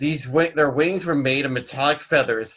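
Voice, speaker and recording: A plain, everyday voice, fairly even in intonation and moderate in pace. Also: man. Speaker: storyteller. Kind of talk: myth storytelling read-aloud.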